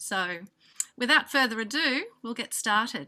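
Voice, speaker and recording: A woman's bright, sharp tone, fairly high in pitch, with an Australian accent. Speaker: music program director, event organizer. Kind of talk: conference welcome address. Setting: video call. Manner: hesitant, many fillers.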